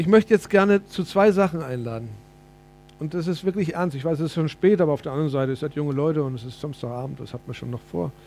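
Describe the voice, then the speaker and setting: With music in the background, a man talks at a very fast pace and fairly high pitch, his intonation lively and his loudness swinging widely. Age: 50s. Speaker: preacher. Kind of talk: sermon.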